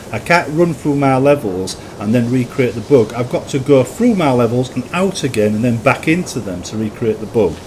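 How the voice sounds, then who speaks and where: Over noticeable background noise, a man with a Yorkshire accent talks at a moderate pace in a medium-pitched voice with lively intonation. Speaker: gaming YouTuber and mod maker. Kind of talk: gameplay commentary. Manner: halting, repeats words.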